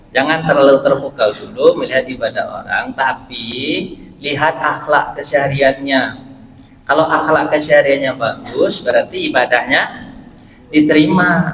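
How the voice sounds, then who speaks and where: A man speaks at a moderate pace. Noticeable background noise runs under his voice. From West Sumatra (Pariaman, Minang). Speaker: Islamic preacher and university lecturer. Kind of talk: short religious sermon.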